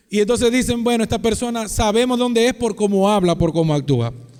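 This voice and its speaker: With ordinary pitch variation, a man speaks at an extremely high pitch. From Venezuela, Maracaibo (Zulia). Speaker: pastor. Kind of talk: sermon.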